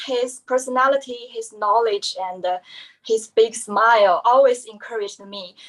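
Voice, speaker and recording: In a Chinese accent, a woman with a high pitch speaks at a fairly slow pace, with lively intonation and big swings in loudness. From China. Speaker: musician and doctoral student. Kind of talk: panel presentation. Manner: halting.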